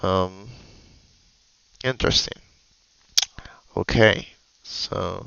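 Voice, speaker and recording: A man speaks at a very slow pace with long, frequent pauses. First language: Spanish. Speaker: programmer streamer. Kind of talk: live stream coding session. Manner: halting.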